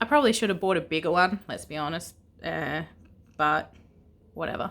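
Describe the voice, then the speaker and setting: A woman with an Australian accent, bright and sharp in tone, with lively intonation. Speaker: vlogger. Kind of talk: casual unboxing vlog. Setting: indoors at home. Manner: hesitant, many fillers.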